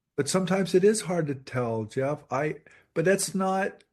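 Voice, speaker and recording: In an unremarkable speaking voice, the speaker goes at a fairly slow pace with lively intonation. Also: man. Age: 60s. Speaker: professor and author. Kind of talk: interview conversation.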